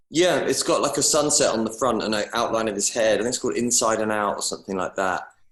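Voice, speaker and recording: Very fast pace and hardly any pauses from a man with an English accent, amid noticeable background noise. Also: medium pitch for a man, ordinary pitch variation. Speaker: singer-songwriter. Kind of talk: casual interview chat. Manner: halting.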